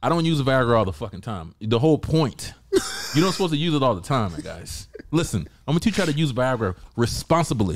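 With vocal fry and a medium pitch, a man talks at a very fast pace with very wide pitch swings. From US South, Georgia. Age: 40s. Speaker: MMA podcast co-host. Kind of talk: casual chat. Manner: animated.

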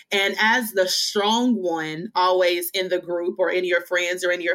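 In a Southern US accent, a woman speaks at medium pitch with fairly even intonation on a very clean recording with a silent background. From Western Kentucky. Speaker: author, speaker and preacher. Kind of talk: testimony.

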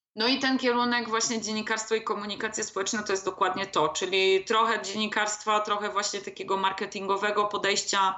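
Talking at a fairly quick pace, a woman has an unremarkable speaking voice at a medium pitch with ordinary pitch variation. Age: 30s. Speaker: copywriter and blogger. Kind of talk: casual interview.

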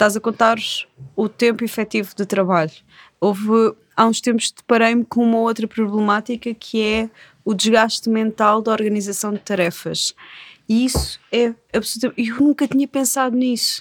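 A woman with a plain, everyday voice speaks at a moderate pace, her pitch fairly high and her intonation fairly even. The recording is very clean and dry, close with no echo, over a silent background. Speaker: podcast host, magazine editor. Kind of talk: casual interview chat.

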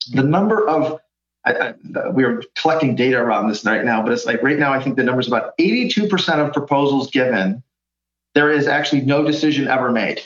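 Lively intonation runs through this man's fairly high-pitched voice. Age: 50s. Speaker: innovation consultant. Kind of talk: interview. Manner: halting.

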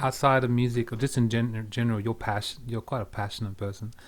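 A man with an Australian accent talks at a very fast pace. His pitch is medium, with ordinary variation. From Australia, Perth. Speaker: podcast host and music producer. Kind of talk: casual chat.

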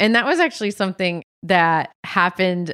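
A woman with an American accent speaks at a moderate pace in an unremarkable speaking voice, her pitch medium. Her intonation stays fairly even, and the recording is very clean with a silent background. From New England (Massachusetts, New Hampshire). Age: 30s. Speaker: writer and teacher. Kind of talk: casual interview about grief.

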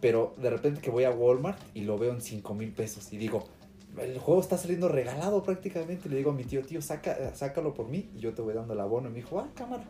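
A man's medium-pitched voice races along very fast with lively intonation. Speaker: podcast co-host. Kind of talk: casual chat. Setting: in the same room, not on Skype.

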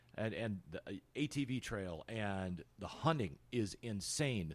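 A plain, everyday voice carries lively intonation. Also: man. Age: 50s. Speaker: podcast host. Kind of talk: interview.

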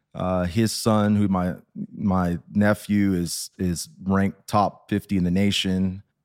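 In an American accent, the speaker talks very slowly in a flat monotone at very even loudness, recorded dry and close with no echo on a very clean, silent background. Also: man, very deep, low pitch for a man. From Texas. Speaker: recovering addict sharing his story. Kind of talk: testimony.

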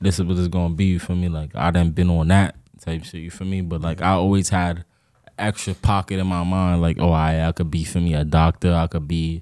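A fairly quick man with a New York accent, very deep, low pitch, a dark, mellow tone and monotone, flat intonation. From Peekskill, Westchester, New York. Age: 20s. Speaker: drill rapper. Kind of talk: casual interview.

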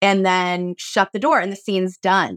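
A normal speaking voice in a dry, close sound with no echo. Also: woman, very clean recording, silent background. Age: 40s. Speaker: actor and organic gardener. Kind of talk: casual chat.

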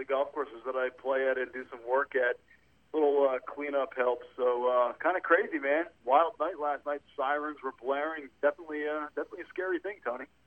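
This is a normal speaking voice at a fairly quick pace. The intonation is fairly even. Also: man, fairly high pitch for a man. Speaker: caller. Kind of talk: casual chat. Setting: phone call.

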